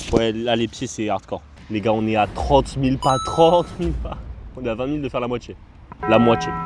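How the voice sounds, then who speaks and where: Lively intonation at a fairly quick pace, long, frequent pauses, music in the background. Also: man, medium pitch for a man. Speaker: youtuber. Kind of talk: casual vlog. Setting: outdoors.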